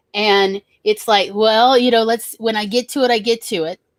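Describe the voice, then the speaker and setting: In a Southern US accent, a woman speaks at a moderate pace with a dry, close sound with no echo in a very clean recording with a silent background. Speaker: writer. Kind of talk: casual chat. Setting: live stream.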